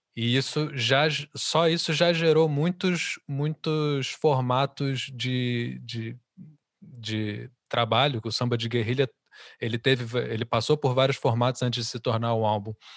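A man with a Brazilian accent at a fairly slow pace, in a dry, close sound with no echo and a quiet background. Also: medium pitch for a man, ordinary pitch variation. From Brazil, Rio de Janeiro. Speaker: musician. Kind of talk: interview.

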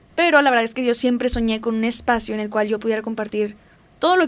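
A woman's fairly high voice in a Mexican accent, at a very fast pace. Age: 20s. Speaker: podcast host, psychology student. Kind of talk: casual monologue.

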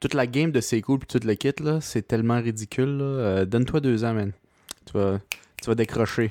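A man with a Quebec accent talks at a moderate pace and medium pitch, in a dark, mellow tone with fairly even intonation, very even loudness, and long, frequent pauses. The recording is very clean, with a silent background and a dry, close sound with no echo. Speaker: podcast co-host.

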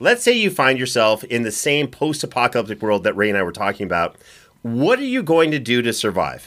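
Recorded very cleanly with a silent background, a man speaks at medium pitch in an unremarkable speaking voice, fairly quick, with lively intonation. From Canada. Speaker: podcast host.

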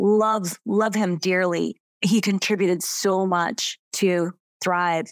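A woman with a normal speaking voice and medium pitch keeps a fairly even intonation, recorded with a dry, close sound and no echo. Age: 50s. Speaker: business coach. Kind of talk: interview.

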